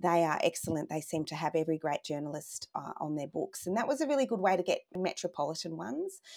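A woman with an Australian accent talks very fast. Her pitch is fairly low and her intonation lively. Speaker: life story business founder and former journalist. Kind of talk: casual chat.

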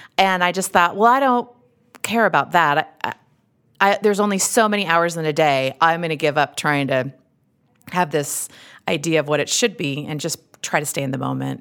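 Fairly quick speech in a strong Utah accent, broken by long, frequent pauses. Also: woman, fairly low pitch for a woman, lively intonation. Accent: thick Utah. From Utah, US. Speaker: actress, comedian and podcast host. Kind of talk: casual interview chat.

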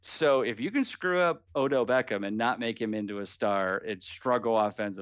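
Lively in intonation, a man speaks in a fairly low pitch with an American accent. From US Midwest (Canton, Ohio). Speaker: fantasy football writer. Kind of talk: casual chat.

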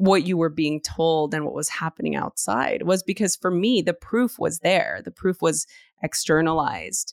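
On a very clean recording with a silent background and a dry, close sound with no echo, a woman with an American accent and an unremarkable speaking voice talks at a moderate pace, her fairly low pitch carried by lively intonation. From US West Coast, East Los Angeles. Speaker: yoga and meditation teacher, author. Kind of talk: casual interview.

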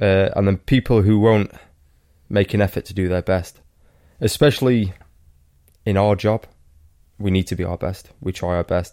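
With a dark, mellow tone and fairly low pitch, a man speaks at a moderate pace with fairly even intonation and long, frequent pauses. The sound is dry and close, with no echo. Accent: Welsh. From Wales. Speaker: professional cyclist. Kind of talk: casual chat.

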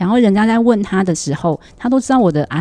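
A woman talks at a fairly quick pace with lively intonation while music plays in the background. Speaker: school principal. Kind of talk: casual chat.

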